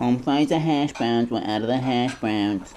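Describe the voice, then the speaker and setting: Over clear background noise, a put-on character voice speaks at a moderate pace in a low-to-middle pitch. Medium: audio drama. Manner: flat, repetitive, insistent.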